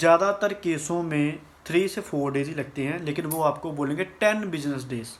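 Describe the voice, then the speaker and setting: A man's fairly high voice with a slight Punjabi accent, ordinary pitch variation and hardly any pauses. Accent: Punjabi touch in Hindi. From Punjab, India. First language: Punjabi (speaking Hindi). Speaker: vlogger. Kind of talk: informational vlog. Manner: casual, somewhat halting.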